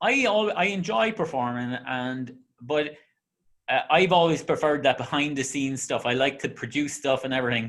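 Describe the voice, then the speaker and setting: Here a man speaks with an Irish accent at a moderate pace. His intonation is lively, and the recording is very clean with a silent background. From Ireland. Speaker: interviewer and singer. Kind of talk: casual interview chat.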